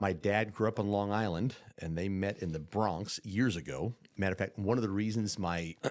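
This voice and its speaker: A man with a Midwestern accent, fairly low pitch, ordinary pitch variation, and moderate pace in a very clean recording with a silent background. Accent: Midwestern tone. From upstate New York. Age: 40s. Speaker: podcast guest, insurance businessman. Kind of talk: casual interview chat.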